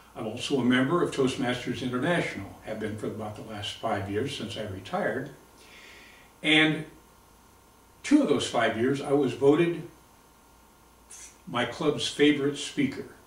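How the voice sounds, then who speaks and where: A man talks at a moderate pace and medium pitch, with ordinary pitch variation and long, frequent pauses. Noticeable background noise and audible room echo surround his voice. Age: 70s. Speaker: retired Marine veteran and competitive shooter. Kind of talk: audition video monologue.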